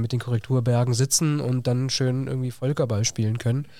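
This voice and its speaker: At a moderate pace, a man speaks in a plain, everyday voice with medium pitch. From southwest Germany, Villingen (Baden-Württemberg). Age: 20s. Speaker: teacher. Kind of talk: casual interview.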